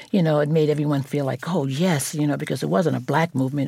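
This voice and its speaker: A woman's very deep, low pitch carries vocal fry and ordinary pitch variation. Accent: New York. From New York (Brooklyn). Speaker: former model and fashion advocate. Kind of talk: interview.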